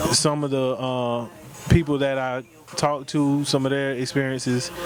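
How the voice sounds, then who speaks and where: A man with an American accent at a fairly high pitch, moderate pace, monotone and flat, with noticeable background noise. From South Carolina, Hartsville. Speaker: singer-songwriter. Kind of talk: interview. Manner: halting, repeats words.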